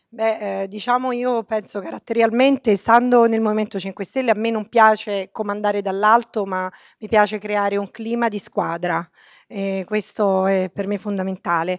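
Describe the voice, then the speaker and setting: Her voice is an unremarkable speaking voice at a medium pitch. The woman speaks at a moderate pace with fairly even intonation. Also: quiet background. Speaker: politician. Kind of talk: speech.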